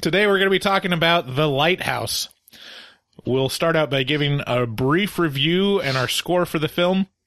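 Playful in tone, this man speaks at a moderate pace with a high pitch and very even loudness. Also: ordinary pitch variation. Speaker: movie review podcast host. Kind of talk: casual comedic review chat. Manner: joking, playful.

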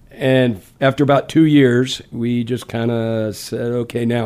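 Speaking at a fairly slow pace with an American accent, a man with an unremarkable speaking voice keeps a medium pitch and fairly even intonation. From Louisiana and Texas. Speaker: blues guitarist and singer-songwriter. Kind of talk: casual radio interview, relaxed chat. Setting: radio studio interview. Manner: easygoing, friendly, laid-back.

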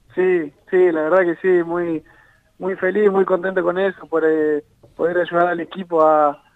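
A man with a high pitch speaks in monotone, flat intonation, with a dry, close sound with no echo. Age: 20s. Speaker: footballer. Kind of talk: interview.

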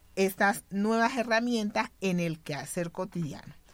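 A woman speaks at a fairly slow pace with ordinary pitch variation. She has an ordinary speaking voice. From Colombian Pacific coast, Buenaventura. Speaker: community leader and sociologist. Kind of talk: radio panel conversation. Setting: radio studio.

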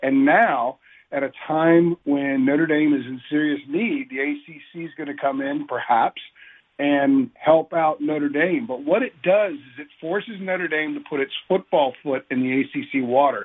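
An unremarkable speaking voice, ordinary in its pitch variation, with an American accent. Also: man. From Northern Virginia. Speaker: sports columnist. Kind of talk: casual sports radio chat.

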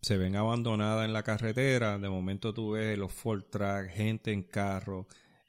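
A man with a fairly low pitch talks at a fairly slow pace in a monotone, flat intonation with hardly any pauses, on a very clean recording with a silent background. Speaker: podcast co-host and runner. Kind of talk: casual chat. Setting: studio.

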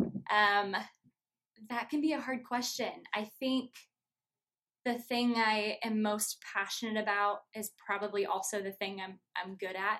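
A woman with an American accent speaks at a fairly slow pace, her fairly high voice bright and sharp in tone. Her intonation stays fairly even, broken by long, frequent pauses. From Iowa, US Midwest. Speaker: church youth ministry staff. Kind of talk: casual interview.

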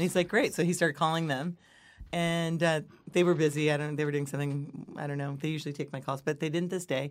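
Here a woman speaks at a fairly quick pace. The recording is very clean, with a silent background. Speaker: podcast host. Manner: chatty storyteller.

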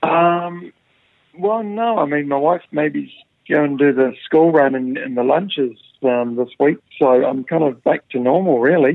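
A man with a New Zealand accent, fairly high-pitched, at a fairly slow pace with ordinary pitch variation. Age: 50s. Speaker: professional golfer. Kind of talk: interview. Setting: remote call from home. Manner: halting, many fillers and repeats.

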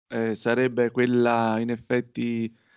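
A man with a medium pitch talks against a quiet background. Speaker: podcast co-host. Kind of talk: casual chat.

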